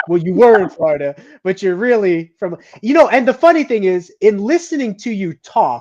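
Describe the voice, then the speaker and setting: A man with a slight New Jersey accent speaks at a moderate pace in a high voice, his pitch swinging very widely. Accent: slight New Jersey accent in certain words. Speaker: podcast host. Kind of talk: casual interview chat. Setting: live podcast broadcast.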